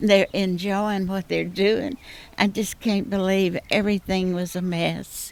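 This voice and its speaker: Fairly slow speech with a Southern Louisiana accent and fairly even intonation. The recording is very clean, with a silent background. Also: woman, medium pitch for a woman. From southwest Louisiana. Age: 80s+. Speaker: storm-affected homeowner. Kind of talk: field interview.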